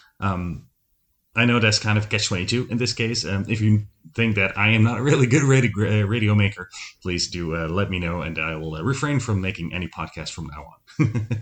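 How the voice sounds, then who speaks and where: A man with a Dutch accent, fairly low-pitched, at a fairly quick pace, with ordinary pitch variation and a quiet background. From Netherlands, Breda. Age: 30s. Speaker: podcast host, former radio host. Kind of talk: solo podcast monologue. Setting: home recording setup. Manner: many filler ums.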